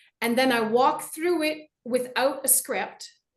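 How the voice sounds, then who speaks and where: Here is a woman with a high pitch. Her intonation is lively. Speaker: public speaker and writer. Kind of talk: casual chat. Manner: over-enunciated.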